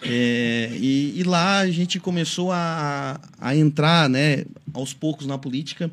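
Speaking at a very slow pace, this man has a fairly high pitch. His pitch varies in an ordinary way. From Santa Catarina, Brazil. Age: 30s. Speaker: city councillor. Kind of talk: radio interview. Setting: radio studio. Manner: halting.

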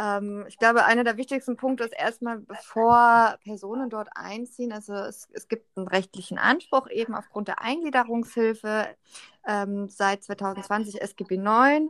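A woman speaks at a fairly slow pace in an unremarkable speaking voice, with ordinary pitch variation. Her loudness swings a lot, and the sound is dry and close with no echo. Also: fairly high pitch for a woman. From Berlin. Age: 20s. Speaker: social care worker. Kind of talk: interview.

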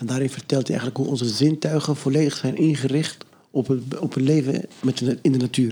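Fairly even intonation at a fairly quick pace. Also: man, medium pitch for a man. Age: young. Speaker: podcast guest sharing a story. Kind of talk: casual conversation. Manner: halting, many repetitions.

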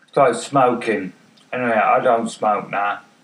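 Over noticeable background noise, a man with an English accent talks at a fairly slow pace. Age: 50s. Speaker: podcaster with MS. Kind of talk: casual monologue. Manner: halting, many fillers. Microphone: far from the mic.

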